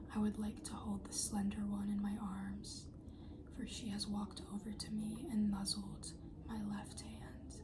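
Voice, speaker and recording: A soft-spoken woman whispers at a fairly slow pace. Noticeable background noise can be heard. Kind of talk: poetry reading. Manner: whispered, soft-spoken.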